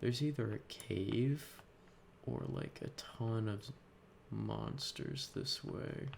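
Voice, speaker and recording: A soft-spoken man. He talks at a very slow pace. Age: 20s. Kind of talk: casual talk to camera.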